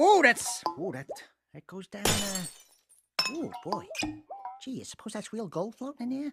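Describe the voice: In a cartoonish character voice, a man talks at a fairly slow pace, his pitch high and swinging widely, with a fairly bright tone and a slightly husky edge.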